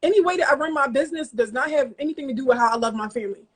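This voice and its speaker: Animated and very fast, a woman talks at a high pitch with ordinary pitch variation. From US Northeast, Philadelphia (North Philly). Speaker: interview guest, businesswoman and mother. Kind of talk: interview. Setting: studio couch.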